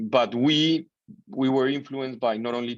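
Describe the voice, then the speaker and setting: The background stays quiet. A man talks at a moderate pace, his pitch varying in an ordinary way. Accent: Colombian. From Colombia, Bogota. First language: Spanish. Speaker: business founder. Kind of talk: interview.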